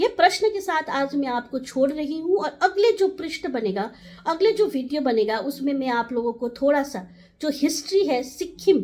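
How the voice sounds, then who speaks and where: A woman's high voice rises and falls in very wide pitch swings. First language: Nepali (speaking Hindi). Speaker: community advocate. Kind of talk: direct-to-camera talk.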